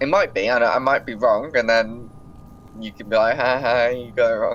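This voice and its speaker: A man's medium-pitched voice in a British accent, at a moderate pace, with fairly even intonation and big swings in loudness. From Britain. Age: 20s. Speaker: video game player. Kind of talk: casual chat.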